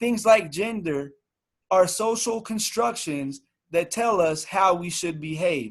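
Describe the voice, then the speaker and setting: Pitched high for a man, this man talks very slowly with lively intonation. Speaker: teacher and workshop speaker. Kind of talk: workshop presentation.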